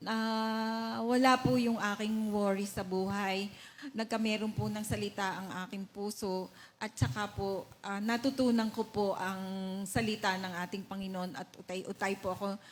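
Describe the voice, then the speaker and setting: Her intonation fairly even, a woman talks somewhat breathily at a fairly slow pace. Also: medium pitch for a woman. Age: 60s. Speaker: church member giving testimony. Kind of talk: testimony. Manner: halting.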